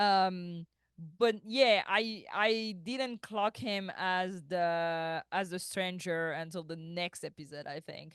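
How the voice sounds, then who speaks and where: Someone with a French accent speaks at a very slow pace. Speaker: podcast co-host. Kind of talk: casual chat.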